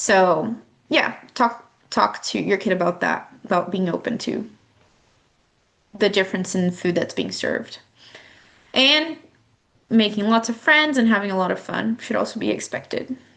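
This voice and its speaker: A woman speaks with lively intonation and vocal fry. She leaves long, frequent pauses. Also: medium pitch for a woman. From Brazil. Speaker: youth exchange volunteer trainer. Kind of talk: recorded training presentation. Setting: solo recording. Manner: deliberately slow; hesitant, many fillers.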